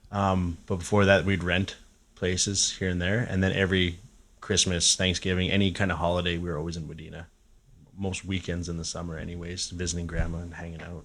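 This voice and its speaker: Speaking in a Canadian prairie accent, a man uses a very deep, low pitch and monotone, flat intonation, with big swings in loudness. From Saskatchewan, Canada (Regina). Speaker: musician. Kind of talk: casual chat. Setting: cabin.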